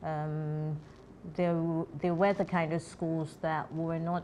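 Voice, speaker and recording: A woman talks in a very deep, low voice with monotone, flat intonation. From Nigeria, Lagos. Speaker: film producer and voice actor. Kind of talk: interview. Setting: studio. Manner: hesitant, many fillers.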